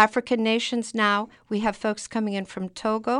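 Against a quiet background, a woman with an ordinary speaking voice and fairly high pitch speaks at a moderate pace. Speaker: library immigrant program liaison. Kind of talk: interview.

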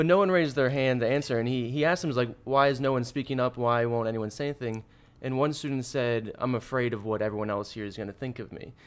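Pitch variation is ordinary for this man's medium-pitched voice. He speaks at a very fast pace. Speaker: guest. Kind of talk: casual chat.

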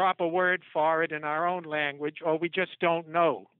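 A man talks with a high pitch. His intonation stays fairly even. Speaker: professor. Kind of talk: interview.

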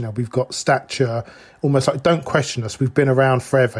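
A somewhat breathy man at a medium pitch talks at a fairly quick pace with fairly even intonation. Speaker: professor and author. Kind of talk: casual interview conversation. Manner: playful, joking.

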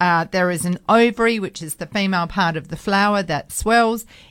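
The recording is very clean against a silent background. Pitch varies in an ordinary way. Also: woman. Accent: Australian. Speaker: radio co-host and horticulturalist. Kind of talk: casual radio chat and interview. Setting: radio studio.

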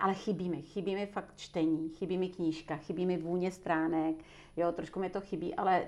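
A woman with a fairly low pitch talks at a fairly quick pace in a monotone, flat intonation. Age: 60s. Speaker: personal coach and trainer. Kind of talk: interview conversation.

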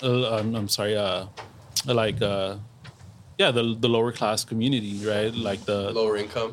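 The man's voice is fairly low, with monotone, flat intonation. He keeps a moderate pace but takes long, frequent pauses. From Los Angeles, Boyle Heights. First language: Spanish. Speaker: soccer fan and meme page creator. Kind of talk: casual chat. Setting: outdoors in a backyard.

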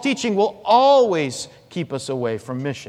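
Loud and fairly slow, a man speaks with very wide swings in pitch. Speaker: pastor. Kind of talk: sermon. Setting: church.

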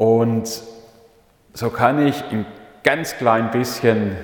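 A man speaking very slowly with fairly even intonation, audible room echo and noticeable background noise. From Swabia, southern Germany (Leonberg near Stuttgart). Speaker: pastor. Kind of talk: sermon. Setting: church.

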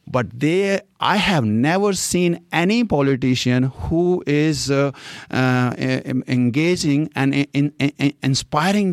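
A man with an Indian accent speaks at a fairly high pitch with lively intonation. The sound is dry and close, with no echo. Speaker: local political candidate. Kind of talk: interview. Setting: library recording studio. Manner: animated.

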